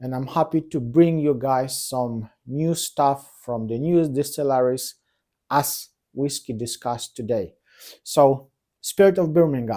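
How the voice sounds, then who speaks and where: A man with a non-native accent speaks at a fairly slow pace in a medium pitch, his dark, mellow tone carrying ordinary pitch variation on a very clean recording with a silent background. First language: not English. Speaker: whisky reviewer. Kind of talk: product review. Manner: halting.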